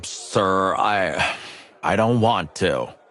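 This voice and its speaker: A man puts on a raspy character voice with a fairly low pitch. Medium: video game.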